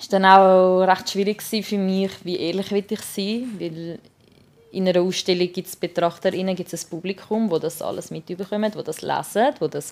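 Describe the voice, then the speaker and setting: With a Swiss accent, a woman speaks at a moderate pace and medium pitch, her intonation fairly even. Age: 20s. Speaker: art student. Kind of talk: personal storytelling. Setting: beauty salon during hair removal.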